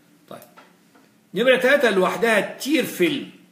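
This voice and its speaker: Over audible room echo, a man talks in an animated tone at a moderate pace. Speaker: physiology lecturer. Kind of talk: lecture. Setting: live-streamed lecture.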